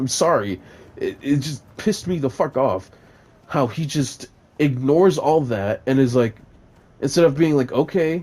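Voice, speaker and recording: Man with a fairly high, dark, mellow voice and lively intonation, at a moderate pace broken by long, frequent pauses. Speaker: gaming YouTuber reviewing a movie. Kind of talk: casual rambling movie review over gameplay. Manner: mumbling; hesitant, many fillers.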